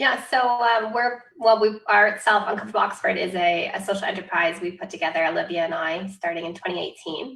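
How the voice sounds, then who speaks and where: With a Canadian accent, a woman talks at a fairly quick pace. She has an ordinary speaking voice, medium in pitch with ordinary pitch variation. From Canada. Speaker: doctoral student in history. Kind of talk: panel discussion.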